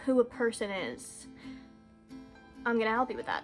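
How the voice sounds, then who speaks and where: With music playing behind her, a woman speaks at a moderate pace in a fairly high pitch and a flat, monotone intonation. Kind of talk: casual, chatty. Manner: scattered, jumps between thoughts.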